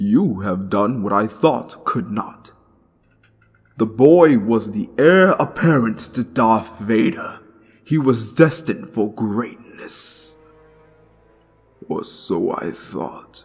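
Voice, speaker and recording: A man puts on a character voice at a medium pitch, with lively intonation. He talks at a very slow pace, with long, frequent pauses. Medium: solo performance. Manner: imperious, menacing.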